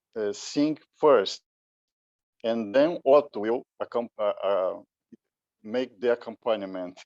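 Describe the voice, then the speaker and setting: A man at a very slow pace, in a Brazilian Portuguese accent, with a dry, close sound and no echo. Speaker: musician, conductor. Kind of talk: conference talk. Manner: halting.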